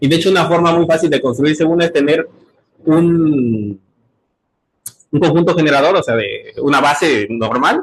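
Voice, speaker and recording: A man's voice sounds somewhat breathy. His pitch varies in an ordinary way. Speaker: graduate student presenting research. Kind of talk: seminar talk. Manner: fast; hesitant, many fillers.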